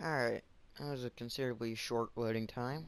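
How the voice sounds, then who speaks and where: At a medium pitch, a man talks at a moderate pace. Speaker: gaming YouTuber. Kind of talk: gameplay commentary. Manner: loud; halting.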